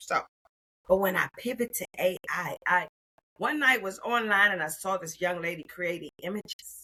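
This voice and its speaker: An American-accented woman speaks at medium pitch and a moderate pace, her animated tone showing ordinary pitch variation. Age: 60s. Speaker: retired federal employee turned AI consultant. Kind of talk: interview.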